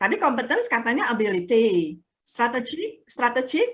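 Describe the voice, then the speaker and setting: The tone is bright and sharp. The pace is fairly slow. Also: woman. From Java, Indonesia. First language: Javanese (speaking Indonesian). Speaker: guest lecturer. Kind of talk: lecture. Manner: mixes English and Indonesian.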